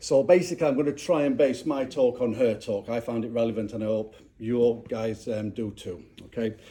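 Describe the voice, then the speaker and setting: Here is a man with a Yorkshire accent. His voice has a medium pitch and a dark, mellow tone. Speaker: speaker at a clan gathering. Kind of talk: public talk. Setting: castle with live audience. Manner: halting, many fillers.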